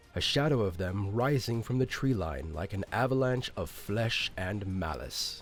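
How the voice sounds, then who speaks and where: Very slow male speech at fairly low pitch with very wide pitch swings, over music in the background. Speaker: fantasy audiobook narrator and creator. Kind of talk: fantasy audiobook narration.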